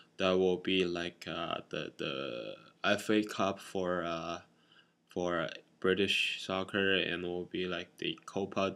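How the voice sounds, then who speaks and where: A man with a non-native accent speaks very slowly at a very deep, low pitch. His tone is bright and sharp, his intonation fairly even. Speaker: boot collector vlogger. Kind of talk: casual explainer vlog. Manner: halting, many fillers.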